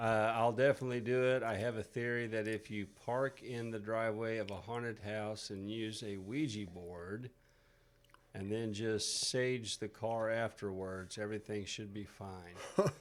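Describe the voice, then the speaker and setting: A fairly low-pitched man with a Missouri accent at a fairly slow pace. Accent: rural Missouri twang. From rural Missouri (Niangua). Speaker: podcast host. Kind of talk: casual chat. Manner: animated.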